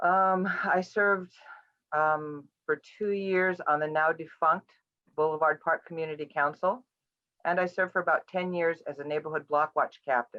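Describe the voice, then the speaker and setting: At a moderate pace, a woman speaks in an unremarkable speaking voice, fairly low in pitch, with fairly even intonation. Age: 60s. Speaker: political candidate. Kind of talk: candidate forum statement. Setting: video call.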